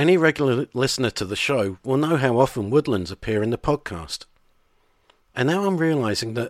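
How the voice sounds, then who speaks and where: On a very clean recording with a silent background and a dry, close sound with no echo, a man with an ordinary speaking voice at medium pitch talks at a fairly quick pace with lively intonation. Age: 50s. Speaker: podcast host. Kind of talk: scripted narration.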